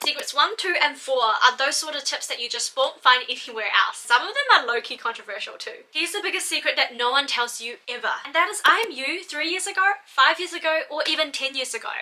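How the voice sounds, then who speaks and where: A woman's raised, projected voice at a high pitch, lively in intonation, fairly quick with hardly any pauses, over noticeable background noise. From Malaysia, moved to New Zealand at twelve. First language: not English. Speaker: doctor and study-tips YouTuber. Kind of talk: scripted vlog talk to camera. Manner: energetic.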